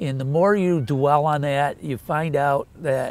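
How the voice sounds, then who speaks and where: A man speaks at a fairly slow pace and a fairly high pitch. It is an ordinary speaking voice. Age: 60s. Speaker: mortgage company president. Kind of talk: interview answer.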